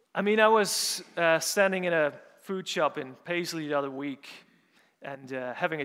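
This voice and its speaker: A man with a Dutch accent, fairly high pitch and ordinary pitch variation. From Netherlands, Urk. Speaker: preacher. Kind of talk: sermon. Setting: church.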